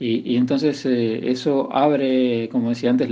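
A man speaks at a fairly slow pace in a dark, mellow tone, his pitch sitting in the medium range. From Buenos Aires conurbano, Argentina. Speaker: photographer. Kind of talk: recorded interview. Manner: halting, repeats words.

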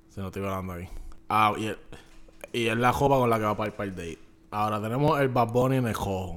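Over music in the background, a man with a fairly low pitch talks at a fairly quick pace, with ordinary pitch variation and big swings in loudness. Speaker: podcast co-host. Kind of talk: casual chat. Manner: animated.

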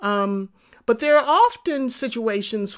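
With an American accent, a woman speaks at a fairly slow pace with ordinary pitch variation. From Texas, then New York City projects. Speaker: podcast host, entrepreneurship coach. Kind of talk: motivational monologue. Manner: conversational with frequent fillers and repetitions.

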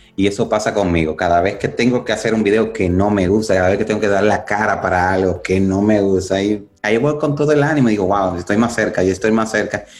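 Very fast, near-pauseless speech from a man at a fairly low pitch, with ordinary pitch variation, very even loudness and noticeable background noise. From Dominican Republic. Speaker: addiction recovery speaker. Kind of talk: interview.

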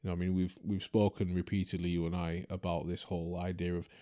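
Over a quiet background, a man with a Yorkshire accent speaks at a very fast pace, his very deep, low voice dark and mellow in tone and monotone, with flat intonation. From Leeds, England (born in Trinidad, moved at four). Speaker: martial arts teacher and former kickboxer. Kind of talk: casual interview conversation.

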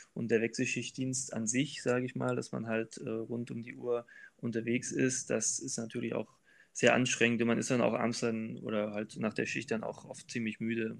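At a moderate pace and a medium pitch, a man speaks in a flat monotone in a very clean recording with a silent background. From Thuringia, eastern Germany (Weimar). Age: 30s. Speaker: train driver. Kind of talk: interview. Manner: hesitant, many filler sounds.

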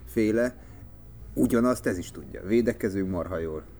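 A man with a very deep, low pitch speaks with lively intonation and vocal fry. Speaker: TV sports journalist. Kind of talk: casual chat.

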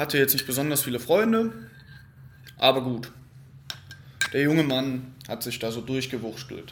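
A man's voice at medium pitch, moderate in pace with long, frequent pauses, over noticeable background noise. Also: ordinary pitch variation. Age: 20s. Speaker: podcast host, psychology student. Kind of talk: solo unscripted monologue. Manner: casual, conversational.

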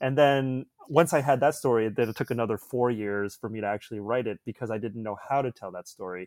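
A man with a Canadian accent at a very fast pace, medium pitch with ordinary variation, big swings in loudness, and a dry, close sound with no echo. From suburbs of Toronto, Canada. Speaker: filmmaker. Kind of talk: casual chat.

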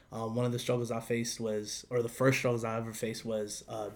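A man at medium pitch speaks in an unremarkable speaking voice. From Northern Virginia, US. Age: 20s. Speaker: former youth leader. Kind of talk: casual chat.

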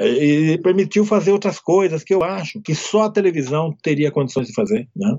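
A man speaks at a moderate pace with a high pitch. His pitch varies in an ordinary way, and he hardly pauses at all. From Brazil, interior of São Paulo state. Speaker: writer and screenwriter. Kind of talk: interview.

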